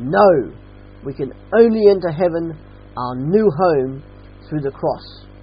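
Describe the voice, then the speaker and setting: Fairly slow delivery with an Australian accent. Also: man. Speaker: preacher. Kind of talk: sermon. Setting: church.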